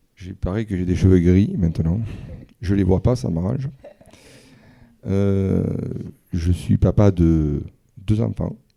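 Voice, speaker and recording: A man speaks with a very deep, low pitch and ordinary pitch variation. His pace is very slow, broken by long, frequent pauses. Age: 50s. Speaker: visually impaired father, guest. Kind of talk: testimony in public conversation. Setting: stage with audience.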